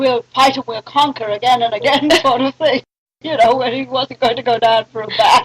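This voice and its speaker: A woman with a British accent talks at a moderate pace and a high pitch. Her intonation is fairly even, and the sound is dry and close with no echo. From Sri Lanka (Colombo), British family. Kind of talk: interview answer, family storytelling. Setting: old cassette recording.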